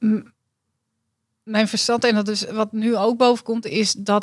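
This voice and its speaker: A woman's fairly high, somewhat breathy voice in a flat monotone, on a very clean recording against a silent background. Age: 40s. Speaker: dietitian. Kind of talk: coaching session client.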